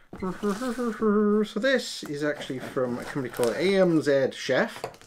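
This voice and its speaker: A Welsh accent over noticeable background noise. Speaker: product reviewer. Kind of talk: casual talk to camera.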